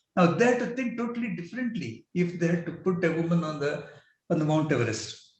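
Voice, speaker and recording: A man talks at a very fast pace with a high pitch and very wide pitch swings. Audible room echo can be heard. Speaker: business executive. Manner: halting.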